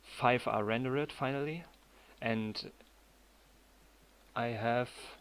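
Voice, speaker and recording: Using fairly even intonation, a man with a German accent talks slowly at a medium pitch. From Germany. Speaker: 3D animator streamer. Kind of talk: live stream tutorial chat. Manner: halting.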